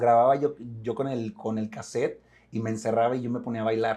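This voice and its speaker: The man's voice has a dark, mellow tone at a medium pitch. He speaks at a fairly quick pace. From Mexico, Monterrey. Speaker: actor. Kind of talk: interview. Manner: repetitions, restarts.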